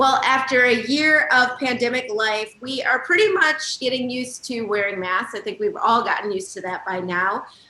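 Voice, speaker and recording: Barely pausing, a woman with a high pitch talks at a moderate pace with very wide pitch swings over noticeable background noise. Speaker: TV show host. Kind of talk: TV interview hosting.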